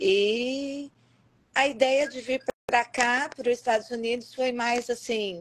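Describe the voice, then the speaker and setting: A woman talks at a very slow pace with a high pitch and fairly even intonation. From Campinas, São Paulo state, Brazil. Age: 50s. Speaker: educator. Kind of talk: interview. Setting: online live stream.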